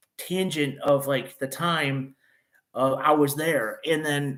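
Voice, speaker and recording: In a very clean recording with a silent background, a man with a Chicago accent speaks fairly slowly at a fairly high pitch in a bright, sharp tone. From northern Illinois (Chicago suburbs, Wheaton). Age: 30s. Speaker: YouTuber. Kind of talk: casual live-stream chat. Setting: live stream. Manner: halting, many fillers.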